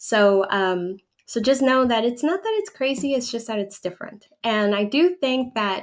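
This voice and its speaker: At a moderate pace, a woman talks with a Spanish accent, her fairly high voice full of lively intonation. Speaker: relocation advisor and channel owner. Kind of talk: livestream Q&A. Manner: conversational with frequent fillers.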